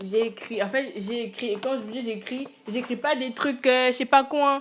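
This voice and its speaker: A woman speaks over noticeable background noise. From Congo. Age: 20s. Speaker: student and musician, vlogger. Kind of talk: casual monologue vlog. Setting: alone at home. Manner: hesitant, many fillers.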